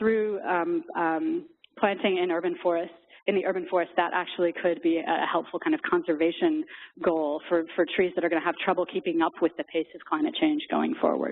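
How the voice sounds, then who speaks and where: The woman's voice sits at a medium pitch, and her intonation is lively. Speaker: applied biologist, guest speaker. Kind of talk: conference talk and Q&A. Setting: conference retreat with live audience. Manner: fast; halting, many repetitions.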